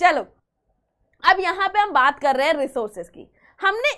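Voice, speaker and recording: At a moderate pace, a woman talks with an extremely high pitch and very wide pitch swings. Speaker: chemistry teacher. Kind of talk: online lecture. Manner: soft-spoken.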